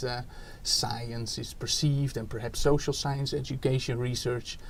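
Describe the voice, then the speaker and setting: Over noticeable background noise, a man with a Dutch accent speaks at a moderate pace and a medium pitch. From Netherlands. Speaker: education researcher, academic. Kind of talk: interview. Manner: hesitant, many fillers.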